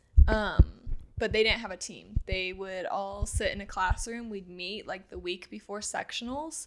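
With an American accent, a woman in an unremarkable speaking voice talks at a medium pitch and moderate pace, her pitch varying in an ordinary way and her loudness swinging widely. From US Midwest, Granite City, Illinois. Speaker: former college swimmer, registered nurse. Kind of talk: casual interview.

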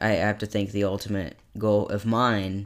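A man's fairly low voice unfolds at a very slow pace. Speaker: podcast co-host.

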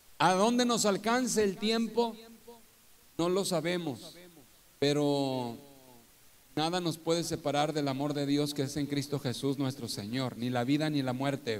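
A man with a fairly high voice at a fairly slow pace, lively in intonation, with long, frequent pauses and audible room echo. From northern Mexico (Torreón, Coahuila). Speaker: pastor. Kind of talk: testimony in a live church interview. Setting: live event with audience, streamed.

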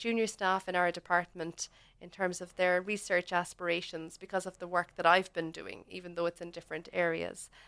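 In a Cork accent, a woman with a medium pitch speaks in monotone, flat intonation. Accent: Cork Irish. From Ireland, Cork. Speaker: paediatric dentist and lecturer. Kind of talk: interview. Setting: radio studio. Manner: halting, many fillers.

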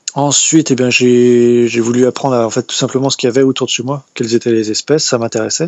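A man rattles along at a very fast pace with hardly any pauses. His delivery is monotone and flat. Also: medium pitch for a man. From France, Brittany (Morbihan). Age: 30s. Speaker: wildlife photographer. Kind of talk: interview. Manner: halting.

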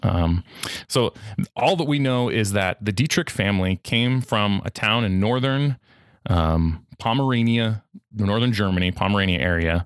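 A man with an American accent has an unremarkable speaking voice, fairly low in pitch, with lively intonation, very even loudness, and a dry, close sound with no echo. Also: moderate pace. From California, US. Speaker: podcast host, guest here. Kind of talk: casual interview. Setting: remote podcast interview.

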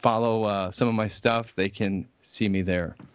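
A man with a Midwestern American accent, medium pitch, fairly even intonation and a moderate pace, against a quiet background. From US Midwest, Indiana. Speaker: religious scholar and YouTuber. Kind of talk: casual interview conversation.

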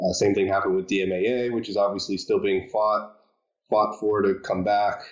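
The delivery is fairly quick, with a flat, monotone intonation and very even loudness. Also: man, fairly low pitch for a man. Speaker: company vice president, podcast co-host. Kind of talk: casual podcast chat.

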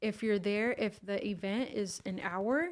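A plain, everyday voice from a woman, medium in pitch, with ordinary pitch variation and an American accent. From California Bay Area and Mexico (Michoacan). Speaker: human resources professional. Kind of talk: casual interview.

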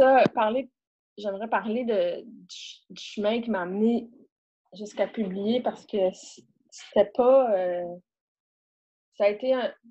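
A woman with a Quebec accent speaks at a very slow pace, with long, frequent pauses and big swings in loudness. Her voice is fairly high in pitch, with a dark, mellow tone and ordinary pitch variation. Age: 50s. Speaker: author. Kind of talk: casual interview. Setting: video call.

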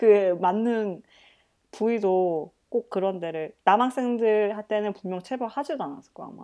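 Against a quiet background, a woman with a dark, mellow tone speaks at a fairly slow pace in a medium pitch, with ordinary pitch variation and big swings in loudness. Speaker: guest living in Europe. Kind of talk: casual chat.

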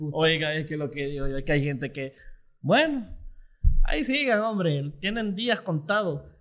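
An unremarkable speaking voice is heard at a moderate pace. The intonation is lively. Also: man, fairly high pitch for a man. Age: 20s. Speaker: former student leader. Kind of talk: casual chat.

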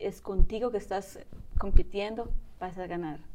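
In a dark, mellow tone, a woman speaks at medium pitch with fairly even intonation. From Spain. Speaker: bodybuilder and mother. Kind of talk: interview testimony.

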